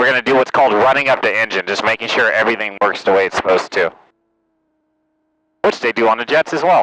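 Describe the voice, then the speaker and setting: A man talks loudly at a very fast pace, his intonation lively. The tone is bright and sharp, with a dry, close sound and no echo. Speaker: flight instructor. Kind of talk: flight lesson instruction. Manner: loud, carrying voice.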